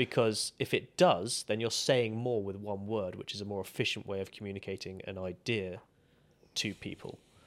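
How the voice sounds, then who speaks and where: A man with a normal speaking voice and a fairly low pitch talks at a moderate pace in a very clean recording with a silent background. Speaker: podcast host. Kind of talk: casual interview conversation.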